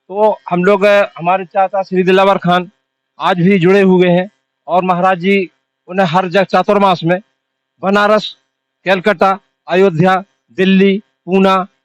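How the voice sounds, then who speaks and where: A high-pitched man with monotone, flat intonation, very even loudness and long, frequent pauses, in a dry, close sound with no echo. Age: 60s. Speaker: event organizer. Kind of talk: interview.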